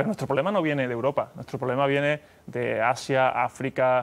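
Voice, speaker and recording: A man speaks with an Andalusian accent. His pitch is fairly high. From Mexico. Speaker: company executive; guest. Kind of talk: TV interview. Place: studio. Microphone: lapel.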